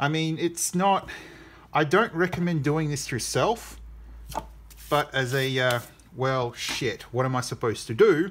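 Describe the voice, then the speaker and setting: The speech moves at a fairly slow pace with long, frequent pauses. Light background noise is present. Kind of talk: casual tutorial commentary. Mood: wry, self-deprecating. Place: workshop.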